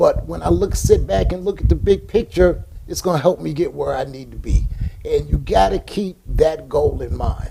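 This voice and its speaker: Over noticeable background noise, a man with an American accent talks at a moderate pace with big swings in loudness. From New York City, raised partly in rural North Carolina. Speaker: business owner. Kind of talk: casual chat.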